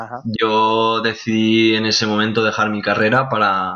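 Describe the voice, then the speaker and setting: This is a man with a fairly low-pitched voice. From Spain, Valencian Community (Benicassim). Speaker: export sales clerk. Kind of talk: interview. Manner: halting, many fillers.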